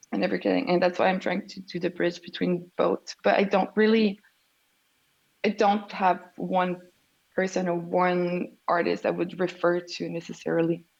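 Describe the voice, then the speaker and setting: A woman speaks at a moderate pace with a Quebec accent. Her fairly low voice stays monotone and flat. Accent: Québécois French. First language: French. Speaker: artist. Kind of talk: interview.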